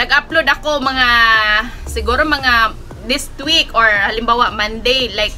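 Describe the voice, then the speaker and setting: A woman talks at a fairly slow pace with a high pitch and ordinary pitch variation. Her loudness stays very even over noticeable background noise. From Philippines. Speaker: online plant seller and vlogger. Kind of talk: live selling vlog. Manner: halting, many fillers.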